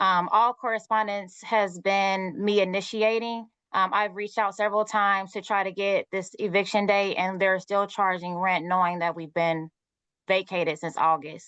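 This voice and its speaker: Against a quiet background, a woman with a Southern US accent speaks at a medium pitch and moderate pace with fairly even intonation. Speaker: eviction defendant. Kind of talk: court testimony.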